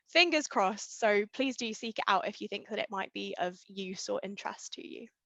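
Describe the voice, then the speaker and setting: A woman speaks with a fairly high pitch and lively intonation. The sound is dry and close, with no echo. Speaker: volunteer riding coach and blogger. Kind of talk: webinar interview. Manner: fast, chatty with many fillers.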